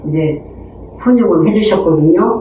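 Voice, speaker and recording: A woman speaks at a fairly slow pace with lively intonation. Noticeable background noise and audible room echo fill the recording. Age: 60s. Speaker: community storyteller. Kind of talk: personal testimony. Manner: hesitant, with fillers.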